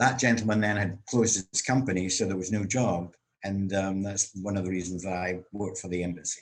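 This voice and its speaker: Speaking in a Scottish accent, a man uses a fairly low pitch and a moderate pace. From Scotland, Glasgow. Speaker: actor and comedian. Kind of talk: interview about life story. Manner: conversational with frequent fillers.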